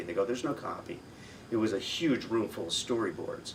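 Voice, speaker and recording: In an American accent, a man talks at a fairly quick pace with ordinary pitch variation over noticeable background noise. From United States. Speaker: voice actor. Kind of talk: interview answer. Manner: casual, conversational.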